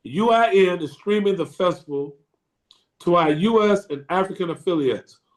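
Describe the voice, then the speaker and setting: High-pitched male voice showing ordinary pitch variation. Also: moderate pace. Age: 60s. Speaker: jazz interviewer, show host. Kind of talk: casual interview. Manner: halting, repeats words.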